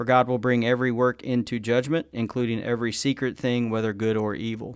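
The speaker has an unremarkable speaking voice. The recording is very clean, and the background is silent. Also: man. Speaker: co-host of a Bible discussion podcast. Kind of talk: casual Bible study discussion.

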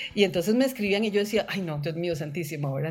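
Lively intonation marks a woman's very fast pace. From Costa Rica. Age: 50s. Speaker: visual artist and photographer. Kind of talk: interview, personal life story.

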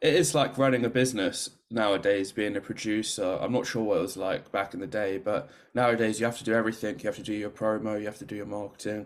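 With a London accent, a man speaks very fast in a fairly low pitch with hardly any pauses. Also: ordinary pitch variation, very clean recording, silent background. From London, England. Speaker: podcast host. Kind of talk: casual chat.

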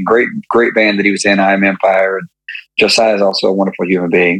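In an East Tennessee accent, a man talks at a fairly quick pace. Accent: Southern US (East Tennessee). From US South, East Tennessee (Maryville). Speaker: rock band lead vocalist. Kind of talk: casual chat.

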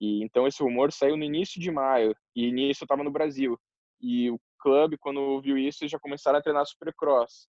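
A man with a normal speaking voice talks at a moderate pace. His pitch is fairly high, and his intonation is fairly even. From southern Brazil. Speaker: professional motocross rider. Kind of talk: interview. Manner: casual.

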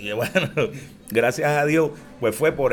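A man has an ordinary speaking voice with a fairly high pitch. He talks at a fairly slow pace. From Puerto Rico, Barrio Obrero, San Juan. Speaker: plena singer. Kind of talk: casual interview.

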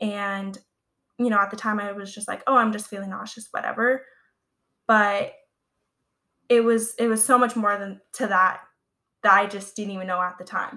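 Speaking in a Californian accent, a woman uses a medium pitch and a monotone, flat intonation at a moderate pace, with long, frequent pauses. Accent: American (California). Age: 20s. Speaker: podcast host, phobia community page runner. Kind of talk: casual solo podcast talk.

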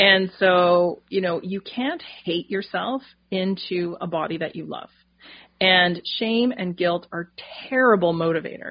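A woman talks in an ordinary speaking voice at a medium pitch. She goes at a fairly slow pace with ordinary pitch variation. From Canada, northern New Brunswick. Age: 40s. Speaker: dietitian and naturopathic doctor. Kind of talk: interview conversation.

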